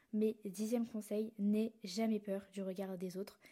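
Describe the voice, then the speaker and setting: A woman with a medium pitch speaks in a dark, mellow tone that is somewhat breathy. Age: young. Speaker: podcast host. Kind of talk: solo podcast monologue.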